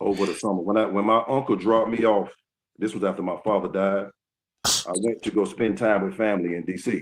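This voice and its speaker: Fairly quick speech from a man in a Southern US accent. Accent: US South. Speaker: retired basketball player. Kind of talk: interview. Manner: halting.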